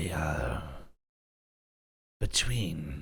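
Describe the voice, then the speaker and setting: A man's put-on character voice, very deep and low. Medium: actual play. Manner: polite, hesitant.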